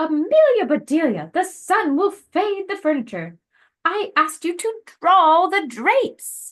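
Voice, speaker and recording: A woman performs a put-on character voice at an extremely high pitch. She speaks fairly slowly with lively intonation. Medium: read story.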